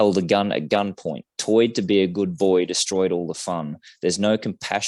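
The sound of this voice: It's an unforced reading voice. The background is quiet.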